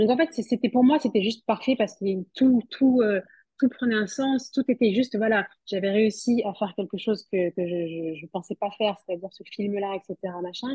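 This woman has an ordinary speaking voice at a fairly high pitch. She talks at a moderate pace. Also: ordinary pitch variation. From southwest France, Toulouse. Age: 30s. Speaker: fashion model and mother. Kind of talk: interview.

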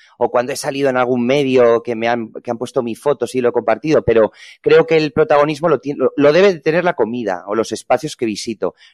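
Over a quiet background, a man talks very fast at a medium pitch with ordinary pitch variation. The sound is dry and close, with no echo. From Spain, Ponferrada (León). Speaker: hotel PR manager and food blogger. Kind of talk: interview.

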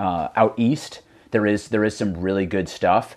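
This is a man with a normal speaking voice and an American accent, pitched fairly low. He talks at a moderate pace in a very clean recording with a silent background. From US Northeast, Connecticut. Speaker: mountain runner. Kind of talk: casual chat.

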